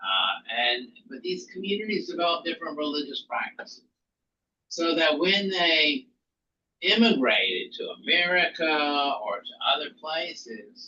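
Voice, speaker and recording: With a slight Southern US accent, a man talks fairly slowly in a high, bright, sharp voice that makes very wide pitch swings. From US South. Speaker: rabbi teaching an intro class. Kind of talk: lecture. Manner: halting, many fillers.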